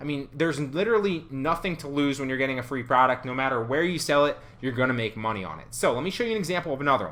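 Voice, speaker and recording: Speaking at a very fast pace, the man sounds animated. His voice sits fairly high. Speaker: online reseller and YouTube educator; online reseller, YouTube educator. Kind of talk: tutorial. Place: home room.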